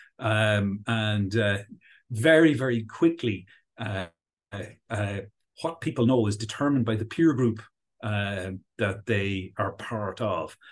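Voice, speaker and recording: A man with an Irish accent talks at a very slow pace with long, frequent pauses against a quiet background. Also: fairly low pitch for a man, ordinary pitch variation. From Ireland. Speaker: professor. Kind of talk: interview discussion, explanatory.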